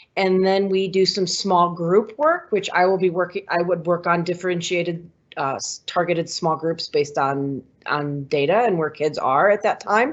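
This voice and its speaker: At a medium pitch and moderate pace, a woman uses an ordinary speaking voice with lively intonation. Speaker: kindergarten teacher. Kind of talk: online information session presentation.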